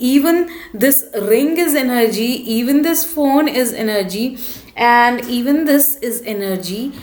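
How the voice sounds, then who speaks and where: A woman with a high pitch and ordinary pitch variation talks at a fairly slow pace, with audible room echo and noticeable background noise. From India. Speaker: spiritual vlogger. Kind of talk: casual talk to camera.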